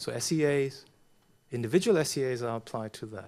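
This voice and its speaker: At a moderate pace and with ordinary pitch variation, a man speaks in a very clean recording with a silent background. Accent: German. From Germany. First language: German. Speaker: professor. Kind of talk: conference talk Q&A. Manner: halting, many repetitions.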